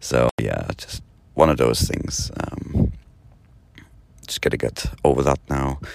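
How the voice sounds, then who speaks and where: Over noticeable background noise, a man with a very deep, low voice talks at a very slow pace in a monotone, flat way, leaving long, frequent pauses. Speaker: podcast host. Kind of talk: casual monologue. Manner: halting, many fillers.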